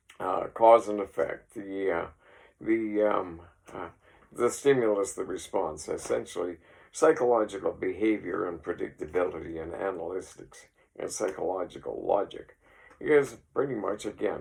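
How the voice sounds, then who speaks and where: With a Canadian Prairie accent, the speaker talks at a moderate pace. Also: man. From Saskatchewan, Canada. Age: 60s. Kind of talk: casual rambling talk to camera. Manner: hesitant, many fillers.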